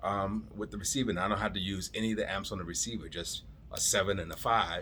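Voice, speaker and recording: In a bright, sharp tone with vocal fry, the speaker moves at a very fast pace with fairly even intonation. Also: man, fairly low pitch for a man. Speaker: home theater hobbyist vlogger. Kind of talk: casual vlog monologue.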